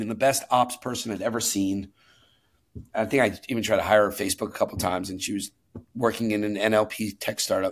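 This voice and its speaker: On a very clean recording with a silent background, a man with an American accent speaks very fast at a fairly low pitch. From New York City. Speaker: venture capital investor. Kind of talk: interview. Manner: animated.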